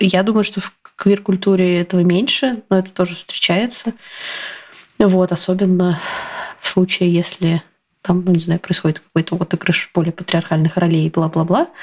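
With long, frequent pauses, a woman talks fairly slowly at a medium pitch, keeping her intonation fairly even. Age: 30s. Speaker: telegram channel author and coach. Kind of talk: casual chat.

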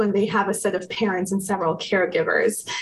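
A woman talks with an American accent. Noticeable background noise runs underneath. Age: 30s. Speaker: psychotherapist. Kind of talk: interview.

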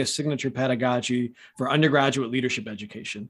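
Over a silent background in a very clean recording, a man talks at a fairly quick pace in an ordinary speaking voice, with medium pitch and ordinary pitch variation. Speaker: podcast host. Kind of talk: interview.

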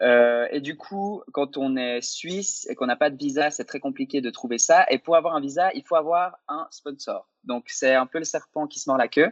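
A man with an unremarkable speaking voice talks at a moderate pace and a fairly high pitch, with ordinary pitch variation and hardly any pauses. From French-speaking Switzerland. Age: 20s. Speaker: YouTuber and actor. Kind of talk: interview.

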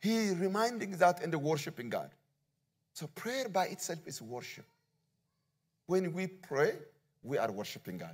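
Speaking at a moderate pace with an Ethiopian accent, a man uses a high pitch, big swings in loudness and long, frequent pauses. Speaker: visiting pastor. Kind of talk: sermon. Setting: church.

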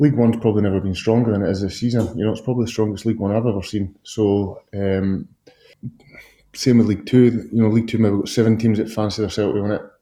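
A man with a Scottish accent speaks very fast in a dark, mellow tone, his fairly low pitch held in fairly even intonation. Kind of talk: interview chat.

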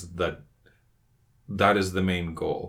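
On a very clean recording with a silent background, a man speaks with a Spanish accent. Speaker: podcast co-host, book club. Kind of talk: casual book discussion.

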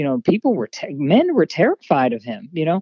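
Speaking in a Pennsylvania accent, a woman has a fairly low pitch. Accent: general American, Pennsylvania. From Harrisburg, Pennsylvania. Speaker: actress and model. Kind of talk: casual interview chat. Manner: animated, playful.

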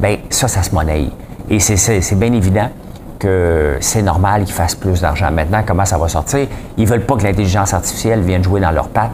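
A man with a very deep, low voice speaks fairly quickly, with ordinary pitch variation and very even loudness. Audible room echo and noticeable background noise fill the recording. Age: 40s. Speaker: podcast host, entrepreneur. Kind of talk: casual news commentary monologue. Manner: animated, informal.

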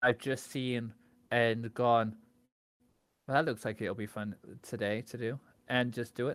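A man speaks at a medium pitch, fairly slowly, with fairly even intonation and long, frequent pauses. The recording is very clean, with a silent background. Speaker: speedrunner. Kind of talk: casual interview chat.

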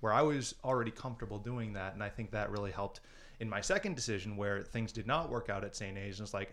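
Talking at a very fast pace, a man with an American accent uses a fairly low pitch and fairly even intonation. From Minnesota. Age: 20s. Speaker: former youth center participant. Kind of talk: casual interview.

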